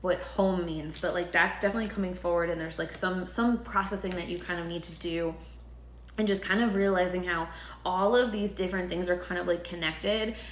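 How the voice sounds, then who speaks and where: A woman's medium-pitched voice at a fairly quick pace, with fairly even intonation, audible room echo and noticeable background noise. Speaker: tarot reader. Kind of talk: tarot reading monologue. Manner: filler-heavy, casual.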